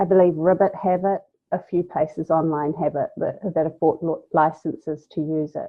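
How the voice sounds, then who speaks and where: In a New Zealand accent, a woman speaks at a moderate pace with fairly even intonation. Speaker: graphic designer. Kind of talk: podcast interview.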